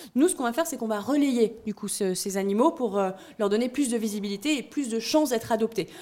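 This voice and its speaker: Delivered at a very fast pace, the dark, mellow voice shows ordinary pitch variation. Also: woman, fairly high pitch for a woman. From southern France. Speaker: startup founder. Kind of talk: pitch interview.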